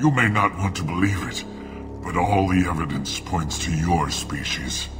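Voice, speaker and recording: Over loud background music, a man puts on a character voice with a very deep, low pitch, talking at a moderate pace. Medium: machinima. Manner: coughing, weak, bitter.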